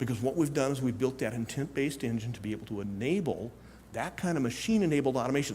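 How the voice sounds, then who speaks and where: A man with a medium pitch talks at a very fast pace with lively intonation. His voice is somewhat breathy, with audible room echo. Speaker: conference speaker, tech industry executive. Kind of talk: conference talk.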